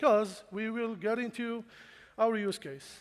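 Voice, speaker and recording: A man speaks with a non-native accent. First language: not English. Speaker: cybersecurity engineering leader, conference speaker. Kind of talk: conference talk. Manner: casual, with filler words.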